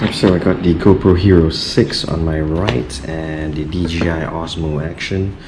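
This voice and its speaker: A man with a very deep, low pitch speaks at a fairly slow pace, with hardly any pauses and fairly even intonation. Audible room echo and noticeable background noise fill the recording. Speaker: tech reviewer, vlogger. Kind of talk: unboxing tutorial. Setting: at home at midnight.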